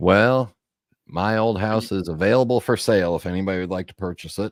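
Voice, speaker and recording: A man's fairly low-pitched voice with an American accent, a plain, everyday voice with ordinary pitch variation at a fairly quick pace. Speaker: co-host. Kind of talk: live chat show. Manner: casual.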